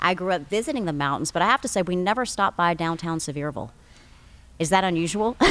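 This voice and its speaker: A very fast woman with an East Tennessee accent, a fairly low pitch and lively intonation. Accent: local East Tennessee. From East Tennessee, Athens. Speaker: podcast co-host. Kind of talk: casual conversation. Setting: historic theater building.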